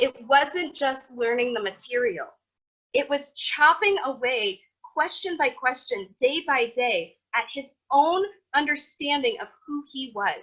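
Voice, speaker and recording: A woman with an American accent talks at a fairly slow pace in a high pitch. Her tone is animated, bright and sharp, with lively intonation. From US Midwest, Iowa. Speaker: Torah teacher. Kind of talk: lecture. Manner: casual.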